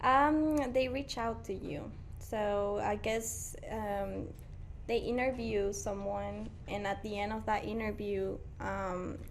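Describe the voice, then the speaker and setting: With a Mexican accent, a woman talks at a very slow pace. Room echo is audible. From Mexico, Guanajuato. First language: Spanish. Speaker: painter. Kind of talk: casual interview.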